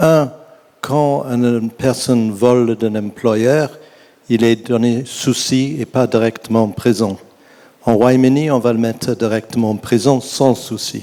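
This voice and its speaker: Speaking very slowly with fairly even intonation, a man with a medium pitch talks in an English accent. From England. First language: English (speaking French). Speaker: audience member, retired magistrate. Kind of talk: audience question. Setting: stage with audience. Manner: halting.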